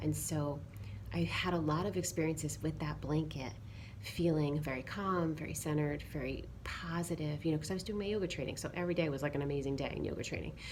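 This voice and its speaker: Soft-spoken, a woman talks at a very fast pace. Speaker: yoga teacher. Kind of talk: casual talk to camera.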